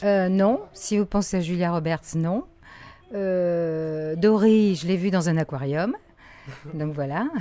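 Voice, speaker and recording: Speaking at a very slow pace with long, frequent pauses, a woman uses a fairly low pitch. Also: ordinary pitch variation. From Morocco. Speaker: voice actor. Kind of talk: interview answer.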